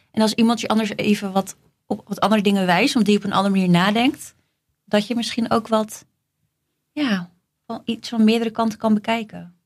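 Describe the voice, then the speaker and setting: Somewhat breathy and fairly high in pitch, a woman talks at a fairly quick pace with fairly even intonation and long, frequent pauses. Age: 30s. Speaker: flight attendant. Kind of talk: casual chat.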